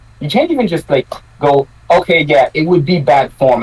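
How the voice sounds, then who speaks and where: Fairly quick speech from a man with a fairly high voice, amid noticeable background noise. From Quebec. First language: French. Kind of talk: casual chat.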